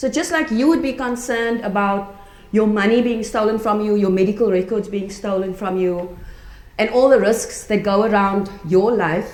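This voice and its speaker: A woman at a moderate pace with ordinary pitch variation, audible room echo and noticeable background noise. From South Africa. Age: 40s. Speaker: conference speaker, chaplain and cybersecurity student. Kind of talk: conference talk. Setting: conference room with audience.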